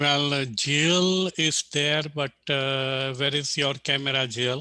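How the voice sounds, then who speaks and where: At a very slow pace, the voice keeps a bright, sharp tone, fairly even intonation and very even loudness. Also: man, fairly high pitch for a man. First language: not English. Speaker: team coach. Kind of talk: casual request on video call. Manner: halting, many fillers.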